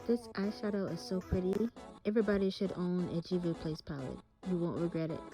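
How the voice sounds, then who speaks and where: The speaker talks at a fairly quick pace with ordinary pitch variation. Music plays in the background. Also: woman, medium pitch for a woman. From South Carolina. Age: 20s. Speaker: esthetician. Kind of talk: makeup tutorial talk to camera. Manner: friendly, casual.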